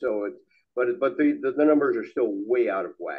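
The background stays quiet as a man talks at a moderate speed. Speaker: audience member. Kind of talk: rebuttal remarks. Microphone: podium.

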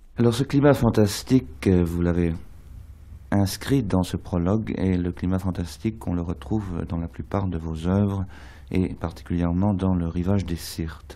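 A man speaks with a very deep, low pitch. His tone is dark and mellow. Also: ordinary pitch variation, fairly slow pace. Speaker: radio interviewer. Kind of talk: radio interview. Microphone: old recording.

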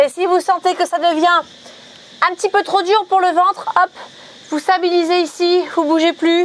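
Her voice sits extremely high for a woman, and she keeps a moderate pace with fairly even intonation and very even loudness. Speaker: fitness coach. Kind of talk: workout tutorial. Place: open country. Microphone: lapel.

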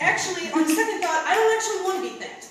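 A woman speaks in an intense tone at an extremely high pitch. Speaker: spoken word poet, competitor. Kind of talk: spoken word poetry performance. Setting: stage with audience. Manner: intense, emotional.

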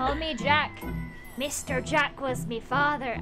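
Someone in a put-on character voice speaks at a fairly slow pace while clear music plays in the background. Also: female-sounding voice, high pitch for a woman.

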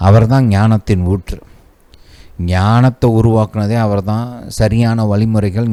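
The tone is dark and mellow, with fairly even intonation. This is a very clean recording with a silent background. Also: man. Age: 40s. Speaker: Bible teacher. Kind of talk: sermon.

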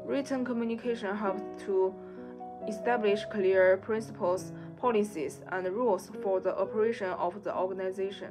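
Clear music plays in the background as a woman speaks. Her pace is moderate, with ordinary pitch variation. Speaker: presenter. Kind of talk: class presentation. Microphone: webcam.

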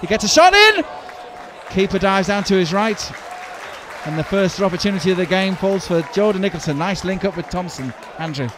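Over crowd noise, a man with a high pitch and ordinary pitch variation speaks in an animated tone, taking long, frequent pauses, and the sound is dry with no echo. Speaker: football commentator. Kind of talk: live football commentary. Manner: fast, animated play-by-play, rising excitement at chances.

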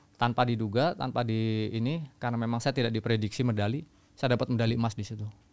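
This man talks at a very fast pace. His medium pitch holds a fairly even intonation. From Central Java, Magelang; Central Java, Indonesia. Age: 30s. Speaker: long-distance runner and army officer; podcast guest. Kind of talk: interview storytelling. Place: studio. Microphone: studio mic.

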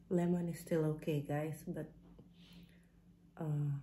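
Over light background noise, a woman speaks fairly slowly in a very deep, low pitch, her tone dark and mellow, somewhat breathy, with monotone, flat intonation. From Philippines. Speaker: vlogger. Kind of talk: casual vlog chat. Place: home room. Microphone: phone near.

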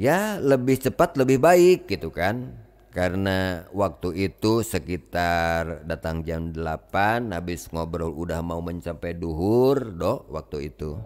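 With a West Javanese accent, the speaker talks at a very slow pace using lively intonation. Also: man, very deep, low pitch for a man, hardly any pauses. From West Java, Tasikmalaya area. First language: Sundanese (speaking Indonesian). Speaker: Islamic spiritual teacher. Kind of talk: storytelling to a gathering. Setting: gathering with audience.

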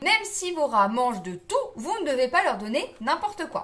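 At a moderate pace, the woman's words come out. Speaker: pet care vlogger. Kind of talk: tutorial. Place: home room.

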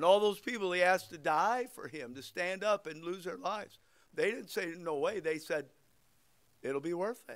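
This man's voice sits high in pitch. He speaks at a moderate pace against a quiet background. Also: ordinary pitch variation. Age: 60s. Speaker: pastor. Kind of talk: sermon. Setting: church. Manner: informal, joking. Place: church. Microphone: podium.

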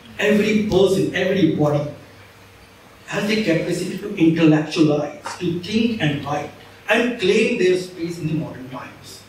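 A high-pitched man at a moderate pace with ordinary pitch variation, light background noise and audible room echo. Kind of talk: lecture. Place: hall. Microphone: camera far.

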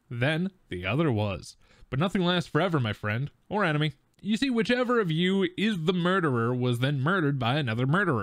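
A man speaks at a fairly quick pace, his pitch fairly high and swinging very widely. The background is quiet. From Wisconsin, US Midwest. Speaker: board game youtuber host. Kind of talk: casual tabletop gameplay chat.

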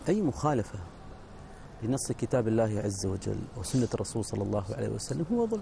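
A man talks at a moderate pace, the sound dry with no echo but with noticeable background noise. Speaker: religious preacher. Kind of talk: TV panel discussion. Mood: earnest, admonishing. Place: studio. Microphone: lapel.

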